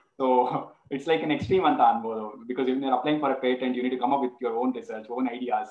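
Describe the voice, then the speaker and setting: A man at a medium pitch, with audible room echo against a quiet background. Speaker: talk show host. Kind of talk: interview question. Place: home room. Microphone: video call.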